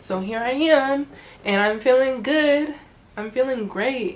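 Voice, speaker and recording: An animated woman with an American accent speaks at a high pitch with lively intonation. Her pace is fairly slow, and audible room echo surrounds her. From US (Charlotte, North Carolina), Togolese parents, first years in Togo. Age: 20s. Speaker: YouTuber. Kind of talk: casual vlog chat.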